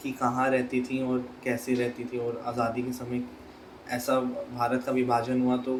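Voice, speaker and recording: This man speaks at a medium pitch. Noticeable background noise runs behind him. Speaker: interviewer. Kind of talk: interview questions.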